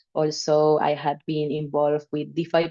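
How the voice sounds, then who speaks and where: At a moderate pace, this speaker uses a flat, monotone delivery in a Spanish accent. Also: woman. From Venezuela. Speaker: DeFi protocol team member. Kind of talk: informal talk in a live stream. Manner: halting.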